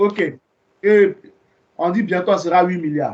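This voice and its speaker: A man speaks at a fairly slow pace. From Ivory Coast. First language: Ivorian ethnic language (speaking French). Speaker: evangelist. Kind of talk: Bible teaching. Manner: conversational.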